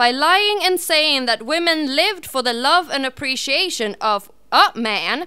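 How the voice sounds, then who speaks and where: A woman speaks in a raised, projected voice with a high pitch. Her intonation is lively and her pace fairly slow. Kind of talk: spoken word poetry performance. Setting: live open-mic venue.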